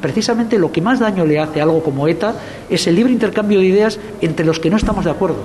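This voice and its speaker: Noticeable background noise and audible room echo surround a man talking at a very fast pace. His pitch is high, with ordinary variation and very even loudness. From Basque Country, Spain (Rentería). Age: 50s. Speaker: film festival director. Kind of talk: interview.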